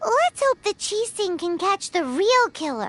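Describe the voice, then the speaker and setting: A squeaky, put-on character voice at an extremely high pitch and fairly slow pace, with faint music in the background. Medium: video game. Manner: casual, curious.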